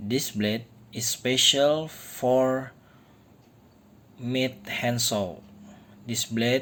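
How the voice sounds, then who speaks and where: Very slow speech in an Indonesian accent. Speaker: DIY tool maker. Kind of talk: tutorial. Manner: halting.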